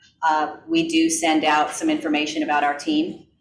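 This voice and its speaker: Audible room echo surrounds a woman whose fairly low pitch holds a monotone, flat intonation. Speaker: real estate team lead teaching a class. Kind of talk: class presentation.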